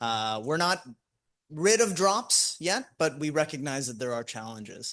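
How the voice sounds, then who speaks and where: Speaking loudly and at a fairly slow pace, a man with a fairly high pitch swings his voice very widely up and down over a quiet background. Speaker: ophthalmologist presenting at conference. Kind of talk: conference talk. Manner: hesitant, many fillers.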